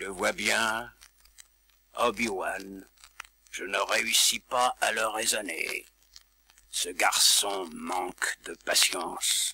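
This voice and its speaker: A man performs a put-on character voice at a very slow pace. He leaves long, frequent pauses. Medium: read story. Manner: inverted word order, cryptic.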